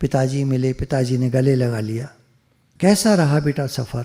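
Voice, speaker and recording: The voice sounds somewhat breathy. Its tone is dark and mellow. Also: man. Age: 70s. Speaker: spiritual teacher. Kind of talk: storytelling talk. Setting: video call.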